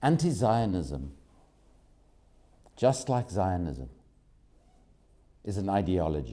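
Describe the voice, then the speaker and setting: A man with a very deep, low pitch and a dark, mellow tone speaks very slowly with vocal fry, very wide pitch swings, long, frequent pauses and audible room echo. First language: not German; English speaker. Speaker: activist speaker at press conference. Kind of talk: press conference statement.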